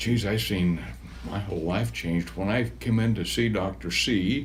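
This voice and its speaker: A man's very deep, low voice with vocal fry and very wide pitch swings, at a moderate pace in audible room echo. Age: 70s. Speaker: patient. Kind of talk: testimonial interview. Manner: halting.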